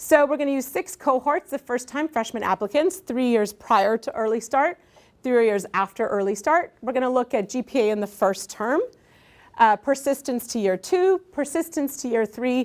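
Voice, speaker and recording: A woman speaks at a moderate pace in a high voice with lively intonation. The sound is dry and close with no echo, a very clean recording over a silent background. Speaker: education researcher. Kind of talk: lecture. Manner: halting, many fillers.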